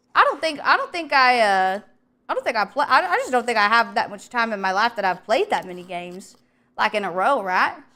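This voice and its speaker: A woman's high-pitched, bright and sharp voice at a moderate pace, animated in tone, with very wide pitch swings. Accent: Southern US. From US South. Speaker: vtuber streamer. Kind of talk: casual livestream chat while cooking.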